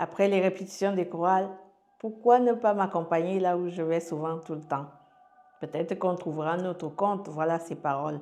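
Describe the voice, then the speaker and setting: Moderately paced, a woman with a fairly low pitch shows ordinary pitch variation and big swings in loudness. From Cameroon, Yaoundé. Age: 40s. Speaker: life coach sharing her story. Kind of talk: testimony. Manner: halting.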